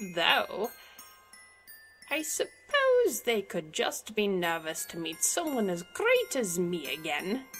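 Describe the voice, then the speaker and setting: A put-on character voice at a fairly high pitch moves at a fairly slow pace over clear music in the background. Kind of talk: comic dub.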